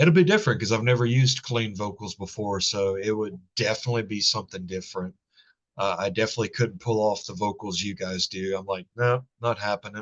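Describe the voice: Moving at a fairly quick pace, a man speaks in a fairly low pitch with ordinary pitch variation.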